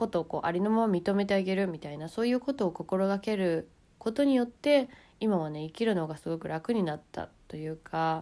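On a very clean recording with a silent background, a woman's dark, mellow voice moves at a fairly quick pace with lively intonation. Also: medium pitch for a woman. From Japan. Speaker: podcaster and YouTuber. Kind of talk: casual monologue.

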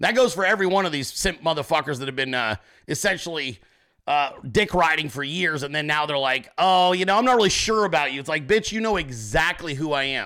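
A man shouts loudly in a bright, sharp tone at a fairly quick pace. His pitch is fairly high and his intonation lively. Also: very clean recording, silent background. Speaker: political podcast host. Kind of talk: political commentary monologue. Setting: home office, live video stream. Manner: loud, yelling.

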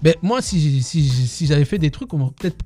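This man has a fairly high pitch and a dark, mellow, somewhat breathy tone. His pitch varies an ordinary amount. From southwestern France, Tarbes. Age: 40s. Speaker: dancer. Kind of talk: interview. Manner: halting.

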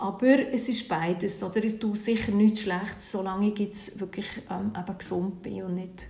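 Fairly slow speech with fairly even intonation carries audible room echo. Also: woman. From Switzerland, Bern. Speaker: cold-water bathing instructor and coach. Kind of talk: interview.

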